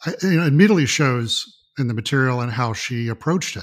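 A man has an ordinary speaking voice with an American accent. His pitch variation is ordinary. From US South, Mississippi. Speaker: art photographer and music fan. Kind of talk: casual chat.

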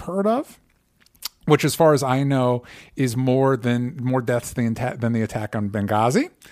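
A man speaks at a moderate pace with an American accent, his pitch in the medium range. It is a plain, everyday voice on a very clean recording with a silent background. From US South (Florida). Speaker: podcast host. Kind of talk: casual chat.

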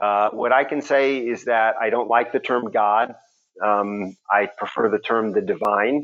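Speaking in a medium pitch, a man keeps his intonation fairly even. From Houston, Texas. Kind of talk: interview. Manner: halting, many fillers.

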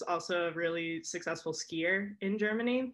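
An American-accented woman speaks at a medium pitch with a bright, sharp tone. Her pace is moderate and her intonation fairly even, against a quiet background. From US Northeast (Connecticut). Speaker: artist and skier. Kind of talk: casual chat.

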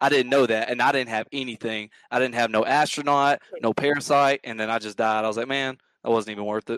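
Talking very fast, a man uses a Southern US accent with fairly even intonation. The background is quiet. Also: medium pitch for a man, dry, close sound with no echo. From US South, Mississippi near Memphis. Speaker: gaming podcast guest. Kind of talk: casual chat.

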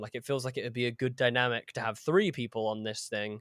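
Very clean and silent in the background, with a dry, close sound and no echo, the voice carries a southern English accent, moderate pace and fairly even intonation. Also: man. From southern England, Horsham. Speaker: actor and podcaster. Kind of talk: casual interview chat.

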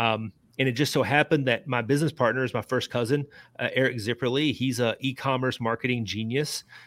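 A man with a Kentucky accent, medium pitch, fairly even intonation and a very fast pace, on a very clean recording with a silent background. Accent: Kentucky (US South). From central Kentucky (Lebanon, Marion County). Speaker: author and journalist. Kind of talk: interview. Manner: halting.

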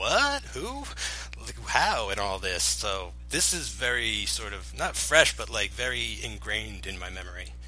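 Fairly slow speech from a man amid noticeable background noise and audible room echo. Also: big swings in loudness. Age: 30s. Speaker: podcast co-founder. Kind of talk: casual chat.

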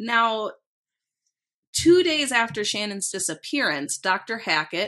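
A woman speaks at a fairly slow pace with a Minnesotan accent. Her tone is bright, sharp and animated, with very wide pitch swings. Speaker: true crime podcast host. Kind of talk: casual chat with storytelling of cases. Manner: animated, joking.

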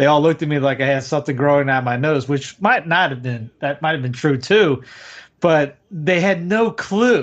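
With a Southern US accent, a man talks at a moderate pace in a fairly high pitch, his intonation lively. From US South. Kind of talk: casual conversation on livestream. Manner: animated.

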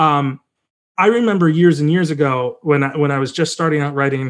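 A man with a normal speaking voice talks at a fairly high pitch with fairly even intonation over a quiet background. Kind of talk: casual interview chat. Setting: video call. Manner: rambling, self-correcting.

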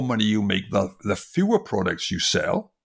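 A man speaks with a Welsh accent at a moderate pace. The recording is very clean, with a silent background. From Wales, industrial valleys. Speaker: design professor and author. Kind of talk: interview. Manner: halting, many fillers.

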